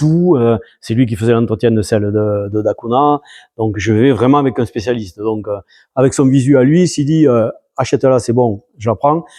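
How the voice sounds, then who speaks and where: With a dark, mellow tone, a man talks against a quiet background. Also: dry, close sound with no echo. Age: 70s. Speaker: amateur rally driver. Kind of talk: interview. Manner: hesitant, many fillers.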